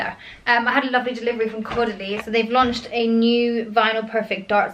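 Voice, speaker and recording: A woman speaks with a British accent in a fairly high pitch. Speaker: lifestyle vlogger. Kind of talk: casual vlog. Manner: fast; frequent um fillers.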